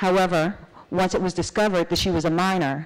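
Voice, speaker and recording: With music playing behind her, a woman speaks at a fairly quick pace. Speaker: judge presenting a case. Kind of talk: conference presentation. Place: hall. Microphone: podium.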